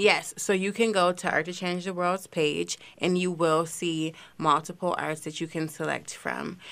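A woman's fairly low, monotone voice with flat intonation, fairly slow yet with hardly any pauses, on a very clean recording with a silent background. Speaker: social media coordinator. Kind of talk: casual radio interview.

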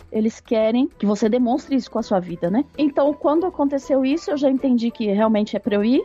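Over noticeable background noise, a woman speaks at a fairly quick pace in a high voice with lively intonation. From Brazil, São Paulo city. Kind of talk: interview, personal testimony.

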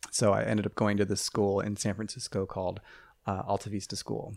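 Speaking fairly quickly in a Midwestern American accent, the voice is monotone and flat with vocal fry, on a very clean recording with a silent background. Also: man. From rural Ohio. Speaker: math teacher. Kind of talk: casual chat. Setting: studio.

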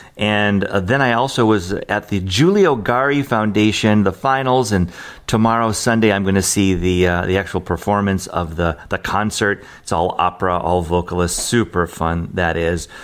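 A man with an American accent talks in a normal speaking voice at a fairly low pitch. He keeps a moderate pace with hardly any pauses, very even loudness and ordinary pitch variation. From Detroit area, Michigan. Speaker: radio host. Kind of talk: casual radio show hosting, album introduction. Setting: studio. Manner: warm, conversational, relaxed.

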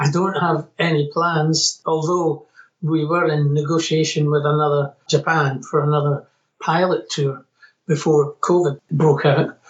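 Speaking in a Scottish accent at a fairly slow pace, the voice has monotone, flat intonation and very even loudness. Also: man, fairly high pitch for a man. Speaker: musician. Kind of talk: interview.

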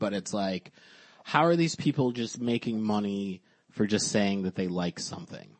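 At a moderate pace, a man speaks with fairly low pitch, a slightly mellow tone and ordinary pitch variation.

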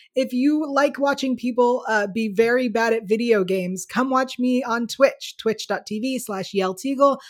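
A woman with an American accent speaks in a normal speaking voice at a fairly high pitch. Her pace is moderate, with ordinary pitch variation. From United States. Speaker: YouTube show host. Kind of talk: casual chat.

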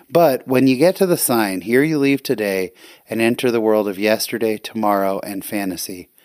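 An American accent marks this man's ordinary speaking voice, fairly low in pitch with ordinary pitch variation and a moderate pace. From California. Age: 40s. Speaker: guest podcast host. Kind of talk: solo podcast monologue. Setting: home recording at night.

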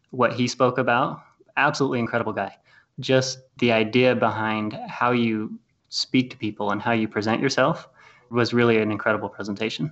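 Here is a man with a normal speaking voice at medium pitch. He talks at a fairly quick pace with fairly even intonation. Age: 20s. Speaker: wealth strategist and real estate investor. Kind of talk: interview.

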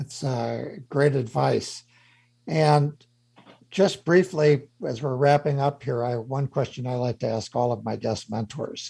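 Somewhat breathy male voice of medium pitch, dark and mellow in tone, with ordinary pitch variation, a fairly slow pace and a quiet background. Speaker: radio host and CEO mentor. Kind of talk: radio interview. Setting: studio.

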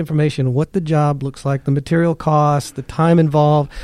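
In an ordinary speaking voice, a man talks at a fairly quick pace, with a dry, close sound and no echo. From California. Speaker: sales training consultant. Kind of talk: casual interview. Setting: studio.

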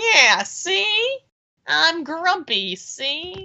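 A woman puts on a character voice. She pitches it extremely high. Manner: grumpy.

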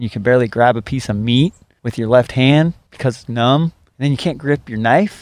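Recorded very cleanly against a silent background, a man speaks at a fairly quick pace with a medium pitch and ordinary pitch variation. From Washington state, US. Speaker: butcher. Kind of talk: interview. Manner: loud.

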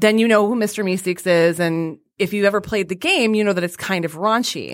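In an unremarkable speaking voice, a woman with an American accent talks at a moderate pace with ordinary pitch variation, captured in a very clean recording with a silent background. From Detroit. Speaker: podcast host. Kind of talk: casual chat.

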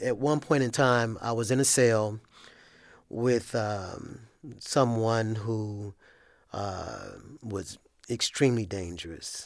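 A man at a very slow pace, medium in pitch, with long, frequent pauses. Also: ordinary pitch variation, very clean recording, silent background. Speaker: former inmate. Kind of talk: testimony.

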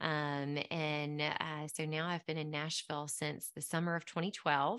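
A woman with a Southern US accent speaks at a fairly slow pace over a quiet background. Her very deep, low voice has a bright, sharp tone. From US South, Mississippi Delta. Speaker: pharmacist and podcast host. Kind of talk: interview.

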